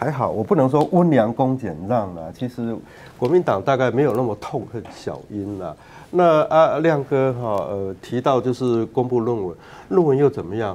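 A man talks with lively intonation. His tone is dark and mellow. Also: moderate pace. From Taiwan. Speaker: political commentator. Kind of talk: talk show panel discussion. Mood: relaxed, wry. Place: studio.

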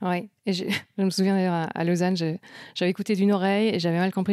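Very clean and silent in the background, the recording captures a woman in an ordinary speaking voice at a medium pitch and a fairly quick pace. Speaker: podcast host. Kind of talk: casual interview. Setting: event venue in Paris.

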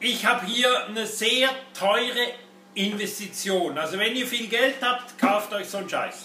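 Music plays in the background as a man speaks in a raised, projected voice with audible room echo. His pace is very slow, and his pitch varies in an ordinary way. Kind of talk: product commentary. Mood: sarcastic, critical. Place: workshop.

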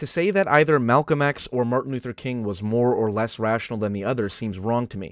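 A man talks at a very fast pace with ordinary pitch variation, captured in a very clean recording with a silent background. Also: dry, close sound with no echo. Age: 20s. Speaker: video essayist. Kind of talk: scripted narration.

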